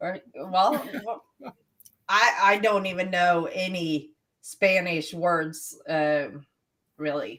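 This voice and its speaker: A woman at a medium pitch speaks very slowly with long, frequent pauses and ordinary pitch variation. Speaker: podcast co-host, emergency dispatcher. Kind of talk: casual chat.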